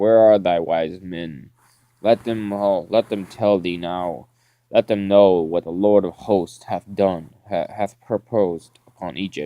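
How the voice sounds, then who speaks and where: Speaking at a fairly slow pace, a man uses a very deep, low pitch with a dark, mellow tone and fairly even intonation. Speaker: Bible reader. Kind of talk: scripture reading. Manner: halting, stumbling over words.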